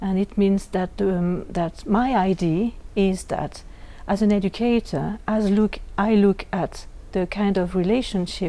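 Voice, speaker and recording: The voice has a dark, mellow tone and a French accent. It moves at a fairly slow pace with fairly even intonation. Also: woman. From Switzerland, French-speaking. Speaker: educator trainer. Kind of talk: interview. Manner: halting.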